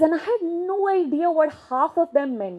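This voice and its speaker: A woman speaks with an Indian accent and a dark, mellow tone. Her very slow delivery has very wide pitch swings. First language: Marwari. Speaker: leadership and gender consultant. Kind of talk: keynote speech. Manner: conversational storytelling.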